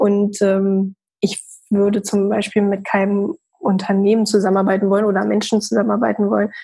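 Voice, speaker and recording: A woman with a dark, mellow tone and a somewhat breathy voice talks at medium pitch. Her pace is moderate and her intonation monotone and flat. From northern Germany, Hamburg. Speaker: entrepreneur and network founder. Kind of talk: interview.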